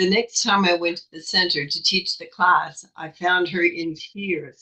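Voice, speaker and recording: A woman's fairly low pitch with a bright, sharp tone at a moderate pace. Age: 80s+. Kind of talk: prepared talk.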